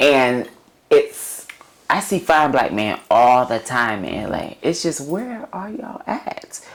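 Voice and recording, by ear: The pace is slow, and the pitch makes big swings.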